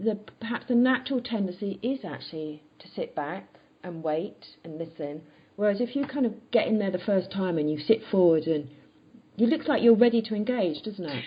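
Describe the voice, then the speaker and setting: A woman's medium-pitched voice at a moderate pace, with lively intonation and noticeable background noise. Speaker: podcast host, confidence coach. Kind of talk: interview. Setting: podcast interview.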